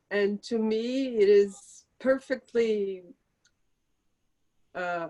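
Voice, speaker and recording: A woman's fairly high voice carries ordinary pitch variation. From Brazil. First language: Portuguese. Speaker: author. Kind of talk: interview Q&A. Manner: halting.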